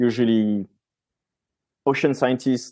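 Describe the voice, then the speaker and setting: A man with a French accent, medium in pitch, with fairly even intonation, a dark, mellow tone and a moderate pace, against a quiet background. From France. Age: 30s. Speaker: marine scientist. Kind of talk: podcast interview. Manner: casual, with fillers and self-corrections.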